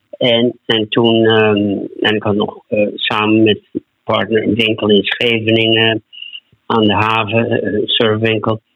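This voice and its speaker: At a very slow pace, a man speaks in a medium pitch with monotone, flat intonation. His loudness stays very even. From Netherlands. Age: 70s. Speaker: entrepreneur. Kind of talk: interview.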